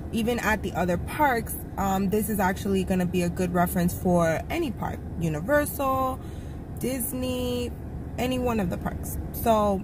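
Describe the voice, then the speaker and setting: Noticeable background noise runs under a woman's voice. She keeps a moderate pace, and the sound is dry with no echo. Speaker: shopping vlogger. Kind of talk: casual vlog chat. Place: car. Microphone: phone near.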